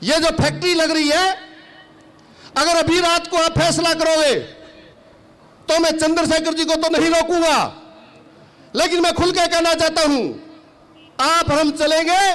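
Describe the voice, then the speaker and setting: An extremely high-pitched man amid noticeable background noise, with long, frequent pauses. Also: very even loudness. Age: 60s. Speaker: farmer leader / politician. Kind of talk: political rally speech. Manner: loud; animated.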